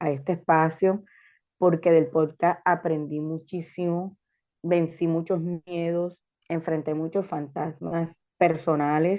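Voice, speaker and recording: Against a quiet background, a woman with a fairly low, dark, mellow voice speaks very slowly in a flat monotone. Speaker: podcast co-host. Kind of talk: casual chat.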